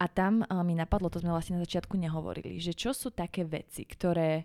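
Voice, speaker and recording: A woman with a plain, everyday voice, fairly low in pitch and fairly even in intonation, at a moderate pace in a dry, close sound with no echo. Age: young. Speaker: podcast host. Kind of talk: interview.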